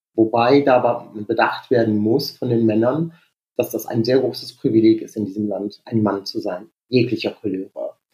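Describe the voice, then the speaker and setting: The speaker is a man. His tone is dark and mellow. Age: 40s. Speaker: dental hygienist and Roma rights activist. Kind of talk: interview conversation. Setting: internet call.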